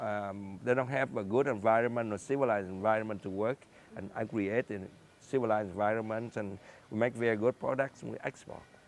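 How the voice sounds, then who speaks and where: A man with a Vietnamese accent talks at a fairly quick pace with a fairly low pitch and fairly even intonation. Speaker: scientist and entrepreneur. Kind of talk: interview. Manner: halting.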